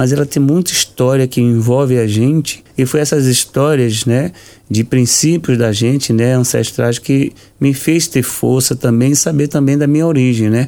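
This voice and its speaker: A man speaks at a fairly slow pace with medium pitch and fairly even intonation. His tone is dark and mellow. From Brazil, Salvador, Bahia. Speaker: capoeira teacher. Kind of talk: radio interview.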